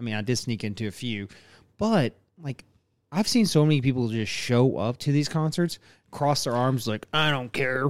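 A man speaks at a moderate pace with a medium pitch, ordinary pitch variation, and a normal speaking voice. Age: 30s. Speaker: podcast host. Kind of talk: casual chat.

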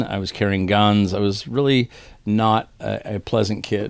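Fairly low in pitch, a man speaks with fairly even intonation. It is a normal speaking voice. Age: 50s. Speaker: concert promoter and recovery retreat director. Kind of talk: testimony. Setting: old theater venue.

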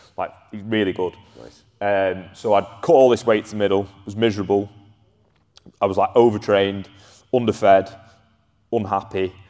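A man with a Lancashire accent talks at a moderate pace in a fairly low pitch, his tone dark and mellow. His loudness swings widely, and he takes long, frequent pauses. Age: 20s. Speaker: strength and conditioning coach. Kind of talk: casual chat.

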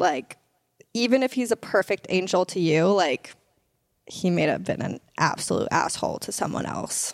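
A woman with an unremarkable speaking voice talks at a moderate pace and medium pitch, her intonation lively. The recording is very clean, with a silent background. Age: 20s. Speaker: podcast co-host. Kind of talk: casual chat.

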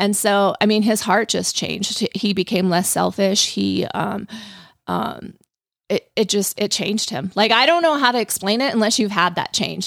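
A woman at medium pitch with vocal fry, ordinary pitch variation and a moderate pace. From Colorado. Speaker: hairstylist. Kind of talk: casual chat.

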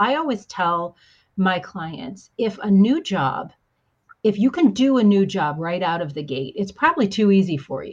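Fairly slow and somewhat breathy, the speech carries lively intonation. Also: woman. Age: 50s. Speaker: executive coach and marketing strategist. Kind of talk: casual interview.

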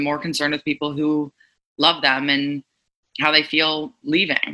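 A woman speaks at a moderate pace with a Montreal accent. Her pitch is very deep and low. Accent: Montreal anglophone Canadian English. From Montreal, West Island (Pierrefonds), Quebec. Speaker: spin instructor. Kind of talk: casual interview.

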